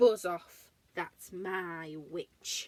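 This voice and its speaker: A woman puts on a character voice at a medium pitch. It comes out croaky and growling. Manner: shrieking.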